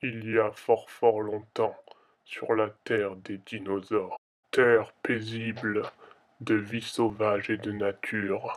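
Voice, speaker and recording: The pace is fairly slow. A man is doing a put-on character voice. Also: medium pitch for a man. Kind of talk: movie trailer. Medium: read story. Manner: exaggerated, dramatic.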